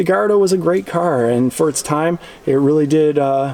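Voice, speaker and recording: There is noticeable background noise behind a man's voice. He talks at a fairly quick pace with ordinary pitch variation. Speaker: car reviewer / vlogger. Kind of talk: casual walkaround car review. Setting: car dealership showroom. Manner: quiet, hushed; enthusiastic.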